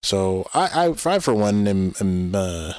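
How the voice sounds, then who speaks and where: With a Canadian accent, a man speaks at a very deep, low pitch on a very clean recording with a silent background. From Canada. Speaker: gaming streamer. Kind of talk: casual live-stream chat. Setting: live stream. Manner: halting, many fillers and repeats.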